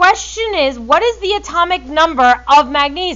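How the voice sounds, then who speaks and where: A woman's high-pitched voice with very wide pitch swings. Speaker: chemistry teacher. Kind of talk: classroom lecture. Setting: classroom with students. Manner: loud.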